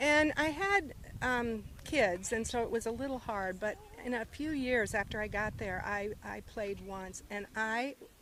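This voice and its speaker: There is noticeable background noise as a woman talks with a Midwestern American accent. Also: fairly high pitch for a woman, ordinary pitch variation, fairly slow pace. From US Midwest, small-town Iowa. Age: 60s. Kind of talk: casual interview. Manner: hesitant, many fillers.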